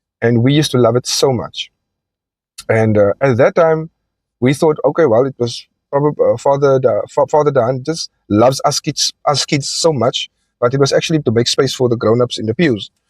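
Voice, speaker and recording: Recorded dry and close with no echo, a fairly high-pitched man with a South African accent speaks with ordinary pitch variation. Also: moderate pace. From South Africa, Cape Town (Elsies River). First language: Afrikaans. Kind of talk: personal testimony monologue. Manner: hesitant, many fillers.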